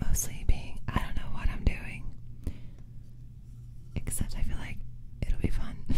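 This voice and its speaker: Whispering at a fairly slow pace, a woman leaves long, frequent pauses. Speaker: ASMR streamer. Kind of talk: ASMR livestream, casual chatty talk to viewers. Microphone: studio mic.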